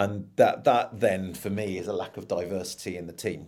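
Fairly low, dark and mellow male voice with a London accent at a moderate pace. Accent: English (London area). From London, England. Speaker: sales leader. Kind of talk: casual interview chat.

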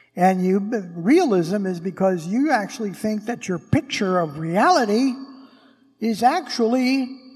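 With music in the background, a man speaks at a high pitch with lively intonation. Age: 70s. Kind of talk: sermon. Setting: church.

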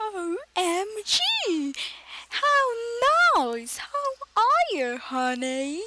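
Extremely high in pitch, a woman uses a put-on character voice. She speaks at a very slow pace with very wide pitch swings. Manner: warm, friendly.

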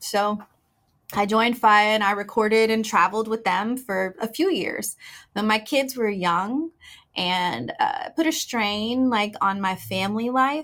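A woman with an American accent and a plain, everyday voice speaks at a fairly slow pace and a fairly high pitch, with ordinary pitch variation, in a very clean recording with a silent background. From Houston, Texas. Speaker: singer-songwriter and record label owner. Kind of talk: interview.

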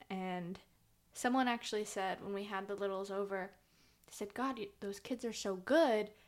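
A woman with a medium-pitched voice speaks at a fairly slow pace, her intonation fairly even. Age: 20s. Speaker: podcast co-host, daughter. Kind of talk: casual chat.

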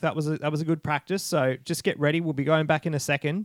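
In a dry, close sound with no echo, a man with an Australian accent speaks at a fairly high pitch. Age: 30s. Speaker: podcast host. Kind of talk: casual chat. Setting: remote call.

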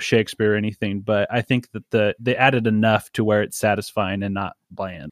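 Dry and close with no echo, a man's plain, everyday voice comes at a medium pitch and a fairly quick pace. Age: 20s. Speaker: podcast host and comic book writer. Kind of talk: casual chat.

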